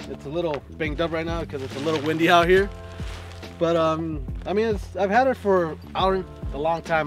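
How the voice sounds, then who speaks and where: A man at a moderate pace with ordinary pitch variation, a dry sound with no echo, and clear music in the background. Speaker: camping vlogger. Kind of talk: casual vlog chat. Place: open country. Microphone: camera far.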